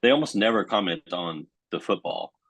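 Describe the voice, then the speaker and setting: A man with an American accent at a moderate pace. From United States. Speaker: television producer. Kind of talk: panel discussion. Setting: video call. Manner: halting, many repeated words.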